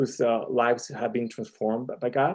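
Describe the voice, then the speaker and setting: The intonation stays fairly even throughout. The tone is dark and mellow, with a Spanish accent. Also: man. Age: 40s. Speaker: ministry president, comic artist. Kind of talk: interview. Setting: live stream.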